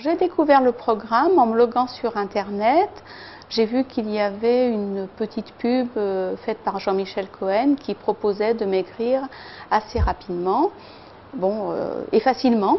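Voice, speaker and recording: The speaker talks at a fairly slow pace with ordinary pitch variation and big swings in loudness. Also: woman, fairly high pitch for a woman. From France, Lyon region. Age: 60s. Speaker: weight-loss program participant. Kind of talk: testimony. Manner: hesitant, many filler sounds.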